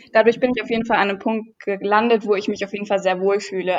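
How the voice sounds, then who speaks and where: A woman's unremarkable speaking voice, fairly high in pitch, with fairly even intonation. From near Düsseldorf, Germany. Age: 20s. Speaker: fitness YouTuber. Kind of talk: casual chat.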